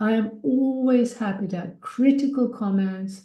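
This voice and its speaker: A woman speaks in a dark, mellow tone that is somewhat breathy, with ordinary pitch variation. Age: 70s. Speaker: speaker, founder of a nonprofit. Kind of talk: webinar talk.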